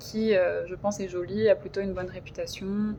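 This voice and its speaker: With music playing in the background, a woman speaks at a medium pitch using flat, monotone intonation. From France, Paris region. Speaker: YouTuber, hotel receptionist and French tutor. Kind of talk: casual vlog monologue. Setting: at work. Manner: hesitant with many fillers.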